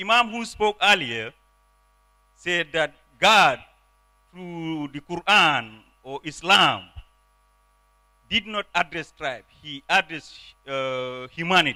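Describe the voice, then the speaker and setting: Very slowly and with long, frequent pauses, a man with a non-native accent speaks in a high, bright, sharp voice with lively intonation and big swings in loudness, recorded dry and close with no echo. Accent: foreign. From Gambia. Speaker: politician. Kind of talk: conference speech.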